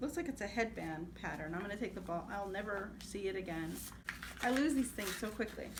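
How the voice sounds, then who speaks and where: A woman with a medium-pitched voice talks fairly quickly with lively intonation. Noticeable background noise and audible room echo surround her. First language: Spanish. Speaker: crafting vlogger. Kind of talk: casual vlog show-and-tell. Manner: hesitant, many fillers.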